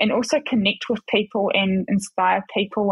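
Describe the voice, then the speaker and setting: This woman has a New Zealand accent and a fairly high pitch. Her voice is somewhat breathy, with fairly even intonation and a moderate pace. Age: 20s. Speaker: ex-Paralympic athlete and model. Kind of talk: casual interview.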